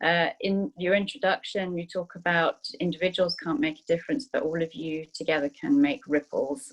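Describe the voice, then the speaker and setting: A woman with a fairly low pitch speaks in a British accent. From Zimbabwe. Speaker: food sustainability manager. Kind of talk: panel introduction. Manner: hesitant, many fillers.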